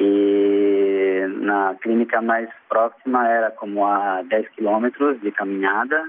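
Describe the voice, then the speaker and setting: A man's fairly low voice in a Portuguese accent, very slow yet with hardly any pauses, very even in loudness and fairly even in intonation. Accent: Portuguese-accented beginner Spanish. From Brazil. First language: Portuguese (speaking Spanish). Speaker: university lecturer and NGO worker. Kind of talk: interview. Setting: phone call.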